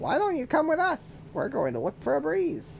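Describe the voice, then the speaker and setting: A man's put-on character voice at an extremely high pitch, moderate pace, with clear background noise. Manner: playful.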